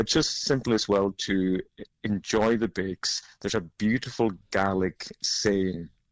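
A man's fairly low, fairly slow voice with fairly even intonation and a Hebridean accent. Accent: Hebridean Scottish. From Scotland, Outer Hebrides. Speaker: baker and cookbook author. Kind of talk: interview. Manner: calm.

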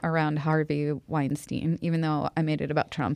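With an American accent, a woman talks at a moderate pace. Her pitch is very deep and low. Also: quiet background. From Boston. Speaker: crafter and activist. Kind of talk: interview. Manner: animated.

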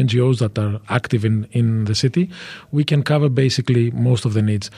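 The voice is somewhat breathy with a dark, mellow tone. It moves at a very fast pace with ordinary pitch variation. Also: man. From France and Greece. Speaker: vice mayor for migrant affairs. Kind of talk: radio interview. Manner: halting, repeats words.

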